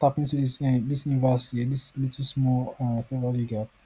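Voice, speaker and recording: Somewhat breathy, a man talks at medium pitch with a dark, mellow tone. His intonation is monotone and flat. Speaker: forex trading tutor. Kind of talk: screen-share trading tutorial. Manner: fast; casual, rambling self-questioning.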